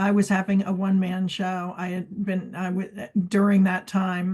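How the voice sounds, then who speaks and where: Her pitch sits in the middle for a woman, and her delivery is flat and monotone. She talks at a moderate pace, somewhat breathy, against a quiet background. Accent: American. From US East Coast. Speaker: collage artist. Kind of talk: casual chat. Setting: video call.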